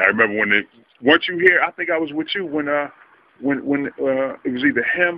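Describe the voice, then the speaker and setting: This is an ordinary speaking voice from a man with an American accent. He moves at a fairly quick pace with ordinary pitch variation. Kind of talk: casual interview questions. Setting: outdoors.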